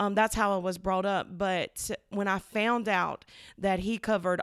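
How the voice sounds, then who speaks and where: A woman with an Alabama accent, animated in tone, medium in pitch, at a fairly slow pace, in a very clean recording with a silent background. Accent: Southern US (Alabama). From US South, Alabama. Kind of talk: casual faith conversation.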